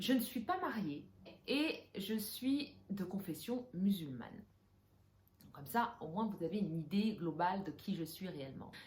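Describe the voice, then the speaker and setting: A woman's somewhat breathy voice sits at medium pitch and moves at a fairly slow pace. Her intonation is lively, and her loudness swings widely. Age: 30s. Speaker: interior decorator and vlogger. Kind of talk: personal vlog talking to camera. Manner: hesitant, many filler sounds; casual, mixes English phrases.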